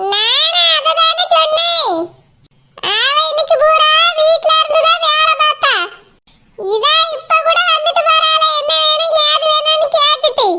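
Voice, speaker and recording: A woman's cartoonish character voice at an extremely high pitch, with lively intonation, very even loudness and a very slow pace. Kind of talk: village cartoon comedy. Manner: calm, homely.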